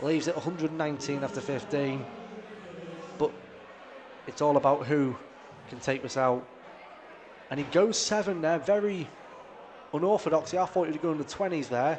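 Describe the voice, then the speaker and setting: A fairly high-pitched man with a North East England accent, fairly quick yet with long, frequent pauses, ordinary pitch variation and noticeable background noise. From North East England, Darlington. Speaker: darts commentator. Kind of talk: live commentary. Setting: live stream of darts match.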